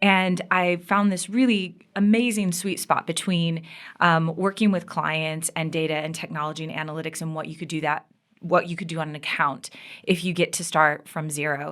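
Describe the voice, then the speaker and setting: In a very clean recording with a silent background, a woman with an American accent and an unremarkable speaking voice talks at a fairly low pitch, her intonation fairly even but her loudness swinging widely. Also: moderate pace. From US Midwest, Michigan. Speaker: media agency executive. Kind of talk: interview.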